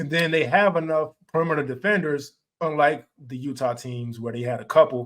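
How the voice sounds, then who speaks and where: This man has a plain, everyday voice and a fairly high pitch with ordinary pitch variation. He talks at a fairly quick pace with big swings in loudness. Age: 30s. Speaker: basketball podcast host. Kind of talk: casual chat.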